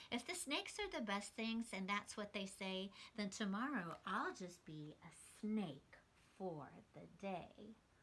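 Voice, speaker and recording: A woman uses a put-on character voice at a medium pitch. She speaks at a fairly slow pace. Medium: read story.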